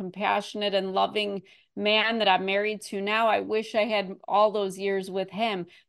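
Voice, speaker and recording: Against a quiet background, a woman speaks in a normal speaking voice at a fairly slow pace, her medium pitch holding fairly even intonation. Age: 40s. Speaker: author and abuse survivor. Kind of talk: interview, personal testimony.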